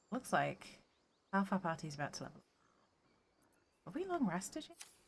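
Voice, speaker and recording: A woman's medium-pitched, somewhat breathy voice at a fairly quick pace, with very wide pitch swings and big swings in loudness. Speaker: video game streamer. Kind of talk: live gameplay commentary. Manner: low-energy; hesitant, many fillers.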